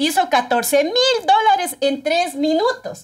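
The background stays quiet while a woman talks. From Ecuador, Pichincha (Guayabamba). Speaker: TikTok creator. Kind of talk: casual interview chat. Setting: studio. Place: studio.

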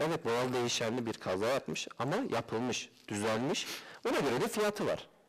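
A man at a medium pitch talks fairly quickly, his pitch swinging very widely. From Turkey, Malatya; Turkey. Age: 20s. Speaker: used car dealer. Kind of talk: interview. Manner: hesitant, many fillers. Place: studio. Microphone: headset.

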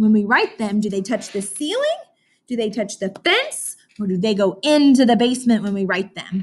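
A somewhat breathy woman's voice with ordinary pitch variation. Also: moderate pace. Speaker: teacher. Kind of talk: lesson for young children. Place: classroom. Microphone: webcam.

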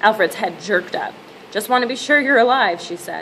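A woman talks at a fairly quick pace. Light background noise is present. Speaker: reader. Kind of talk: reading aloud from a novel. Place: home room. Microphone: webcam.

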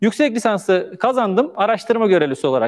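Speaking at a fairly quick pace, a man uses a high pitch. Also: quiet background. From Turkey, Manisa (Aegean region); Turkey. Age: 40s. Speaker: charity founder telling his life story; speaker. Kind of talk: personal testimony. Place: stage. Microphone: lapel.

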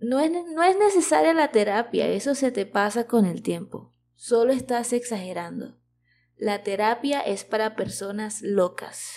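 A woman with an unremarkable speaking voice talks fairly slowly at a fairly high pitch with lively intonation, on a very clean recording with a silent background. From Venezuela. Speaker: Spanish teacher, podcast host. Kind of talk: educational podcast narration for learners. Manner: clear, measured pace for learners.

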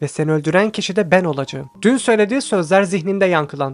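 Pitch varies in an ordinary way as the speaker plainly reads aloud.

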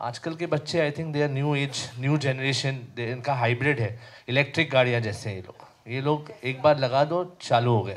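Loudness swings widely as a man speaks at a moderate pace with ordinary pitch variation. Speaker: guest. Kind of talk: interview answer. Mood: warm, reflective about father. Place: hall. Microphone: handheld.

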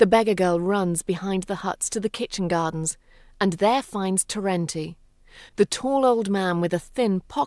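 An unforced reading voice. The pitch moves in an ordinary way.

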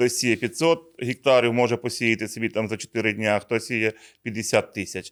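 In an ordinary speaking voice, a man talks at a fairly slow pace with medium pitch and fairly even intonation, on a very clean recording with a silent background. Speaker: regional seed product manager. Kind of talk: conversational agronomy talk show. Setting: studio.

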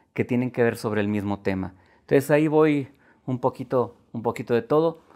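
A man's dark, mellow tone at a fairly slow pace, with ordinary pitch variation and a quiet background. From Guanajuato, Mexico. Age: 50s. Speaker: poet. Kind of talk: interview. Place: studio. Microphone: lapel.

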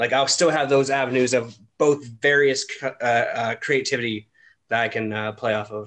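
Using a plain, everyday voice, a man with a Canadian accent talks at a moderate pace with medium pitch and fairly even intonation. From Ontario, Canada. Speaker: podcast host. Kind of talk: casual chat.

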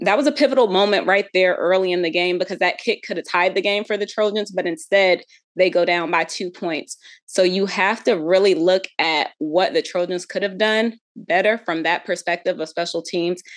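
A woman speaks with ordinary pitch variation at a moderate pace, the background quiet. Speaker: guest. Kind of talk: commentary. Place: home room. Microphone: video call.

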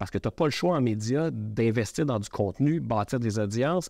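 A man with a Quebec accent and lively intonation, dry with no echo, over a quiet background. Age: 40s. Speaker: media entrepreneur; podcast guest. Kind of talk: interview. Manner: halting. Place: studio.

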